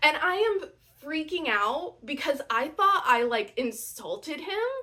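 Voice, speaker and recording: Raising and projecting her high voice, a woman speaks very slowly with very wide pitch swings. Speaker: audiobook narrator. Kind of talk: casual talk to camera. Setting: camera microphone. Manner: chatty, excitable.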